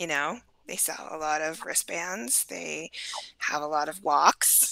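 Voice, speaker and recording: A woman with a fairly low pitch speaks at a very slow pace over noticeable background noise. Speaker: peer specialist. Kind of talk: casual panel discussion.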